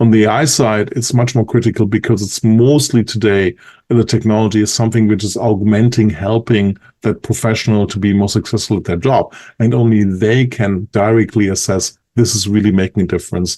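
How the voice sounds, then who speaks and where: Against a quiet background, a man with a German accent talks at a fairly quick pace in a fairly low pitch, his tone dark and mellow and his intonation fairly even. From Germany. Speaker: industry analyst. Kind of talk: podcast interview.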